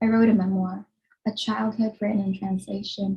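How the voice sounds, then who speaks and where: Somewhat breathy and at a medium pitch, a woman talks at a fairly quick pace in a flat monotone. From Philippines. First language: Tagalog. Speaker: writer. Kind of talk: reading aloud. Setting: video call.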